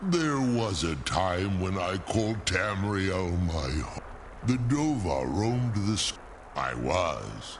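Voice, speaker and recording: Through loud background noise, a man uses a put-on character voice with a fairly low pitch, speaking at a fairly slow pace. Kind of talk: archaic epic speech. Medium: video game. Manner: formal, grave, measured.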